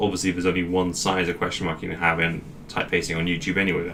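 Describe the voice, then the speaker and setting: A man with a British accent talks at a very fast pace amid audible room echo. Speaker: YouTuber. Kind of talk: casual vlog talk. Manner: rambling, off the cuff.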